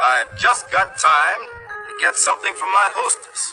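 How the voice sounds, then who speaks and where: A man performs a put-on character voice at a moderate pace. Clear music plays in the background. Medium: read story. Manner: cheerful, proper.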